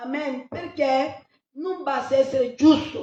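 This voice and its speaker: A woman's high-pitched voice carries audible echo from the room. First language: not Italian (speaking Italian). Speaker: pastor. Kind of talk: sermon.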